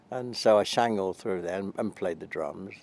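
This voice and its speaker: A man with a British accent at a moderate pace. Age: 80s+. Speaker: army veteran, Chelsea Pensioner, singer. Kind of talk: interview answer.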